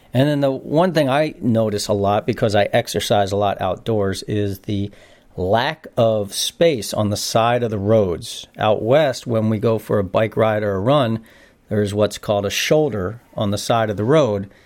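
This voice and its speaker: A man speaks in a normal speaking voice with an American accent. His pitch is fairly low with ordinary pitch variation, and his pace is moderate. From northeastern US (Philadelphia/New Jersey area). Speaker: podcast guest, host's brother. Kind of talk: casual interview. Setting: family reunion, in person.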